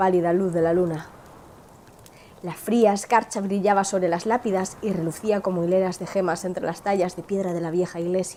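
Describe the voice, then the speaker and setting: A woman's dark, mellow voice at medium pitch, fairly quick in pace, with fairly even intonation. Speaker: film channel host. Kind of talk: dramatized story narration.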